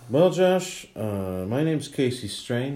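Audible room echo surrounds a man whose dark, mellow tone moves through very wide pitch swings. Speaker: comedian. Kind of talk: casual chat.

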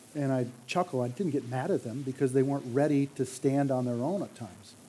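His tone is dark and mellow at a medium pitch. The man talks fairly quickly, with ordinary pitch variation. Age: 50s. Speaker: church elder. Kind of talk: sermon.

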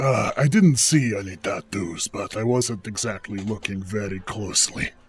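Using a strained, put-on character voice, a man talks at a moderate pace and a fairly low pitch. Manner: smug, sardonic, wheedling.

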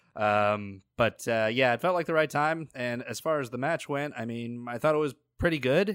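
The speaker has a normal speaking voice. The recording is very clean and the background is silent. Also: man, medium pitch for a man, ordinary pitch variation, moderate pace. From New Milford, Connecticut. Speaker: wrestling podcast co-host. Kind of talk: casual chat.

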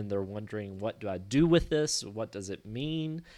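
Here a man talks with a fairly low pitch. The variation in his pitch is ordinary. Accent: Kentucky. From Kentucky, US. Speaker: missionary and theologian. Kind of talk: interview.

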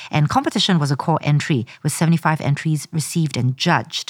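In a very clean recording with a silent background, a plain, everyday voice comes through with a dry, close sound and no echo. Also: woman. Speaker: podcast host. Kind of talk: interview.

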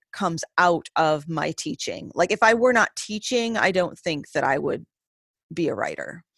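In an American accent, a woman with an ordinary speaking voice talks at a moderate pace, fairly low in pitch with ordinary pitch variation, in a very clean recording with a silent background and a dry, close sound with no echo. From US Northeast, Maine. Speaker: English professor and author. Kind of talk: interview conversation.

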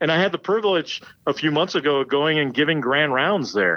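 A man's fairly high-pitched voice with an American accent and lively intonation. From US Midwest and India. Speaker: thoracic surgeon. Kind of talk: casual interview. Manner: halting.

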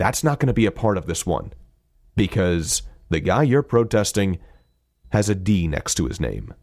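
A man's fairly low voice at a moderate pace, with vocal fry, very wide pitch swings and long, frequent pauses, on a very clean recording with a silent background. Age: 30s. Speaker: podcast guest, voice performer. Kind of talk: casual chat.

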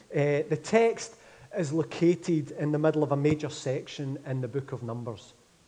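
A man with a Glaswegian accent talks at a moderate pace, his fairly high pitch showing ordinary pitch variation. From Scotland, Glasgow. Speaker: pastor. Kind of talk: sermon. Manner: mumbling.

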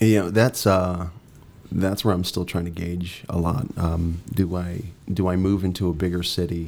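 Here a man talks with very deep, low pitch. His pace is moderate and his intonation monotone and flat. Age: 40s. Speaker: actor. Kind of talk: casual interview. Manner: halting.

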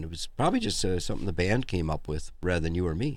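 Here a man talks with a very deep, low pitch. The recording is very clean, with a silent background. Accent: American. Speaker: musician. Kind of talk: casual interview. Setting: studio.

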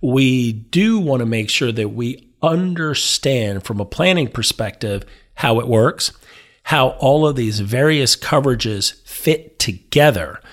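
A man at medium pitch, energetic in tone, fairly slow, with lively intonation, on a very clean recording with a silent background. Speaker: financial planner. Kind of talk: casual chat.

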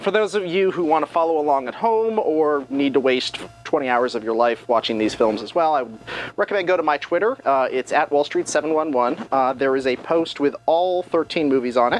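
Noticeable background noise sits behind a man whose fairly high pitch carries lively intonation. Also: moderate pace. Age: 40s. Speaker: BDSM film reviewer. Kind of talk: casual podcast chat reviewing movies.

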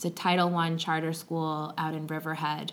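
At a moderate pace and fairly low pitch, a woman speaks with an American accent amid audible room echo. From Long Island, New York. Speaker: teacher. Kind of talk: interview conversation. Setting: classroom.

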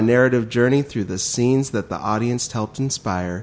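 Medium pitch and ordinary pitch variation in a man's voice, an ordinary speaking voice. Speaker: podcast co-host. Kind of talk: casual chat.

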